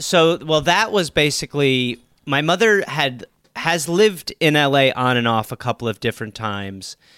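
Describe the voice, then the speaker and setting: A man with an American accent and a fairly high pitch speaks at a moderate pace with lively intonation and a bright, sharp tone. The recording is very clean and silent in the background, with a dry, close sound and no echo. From US Midwest, Wisconsin. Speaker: comedian and podcaster. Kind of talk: casual chat.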